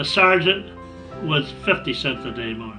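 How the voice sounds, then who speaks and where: A man with a Canadian accent speaks with lively intonation as music plays in the background. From Ontario, Canada. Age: 80s+. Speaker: war veteran. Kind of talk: interview answer.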